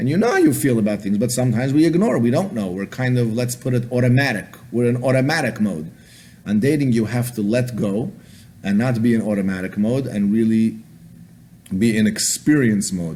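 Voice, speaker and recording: A man's dark, mellow voice at a medium pitch, fairly quick, with ordinary pitch variation and audible room echo. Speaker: rabbi, lecturer on dating. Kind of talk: lecture. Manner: fast.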